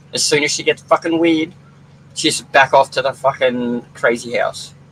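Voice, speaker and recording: Here is a man with an Australian accent. His pitch sits fairly high. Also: fairly even intonation, moderate pace. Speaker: livestream commentator. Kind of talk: casual chat.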